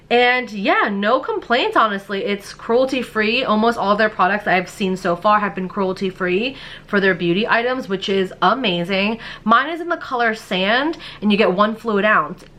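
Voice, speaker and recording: Animated in tone, a woman with a fairly high pitch and ordinary pitch variation talks at a moderate pace over noticeable background noise. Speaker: beauty youtuber. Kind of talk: product review haul.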